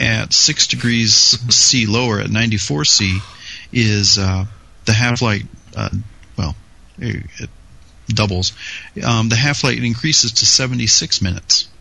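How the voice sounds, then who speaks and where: Over noticeable background noise, a man with a fairly low pitch and ordinary pitch variation speaks at a very slow pace with long, frequent pauses. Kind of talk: casual banter and technical discussion.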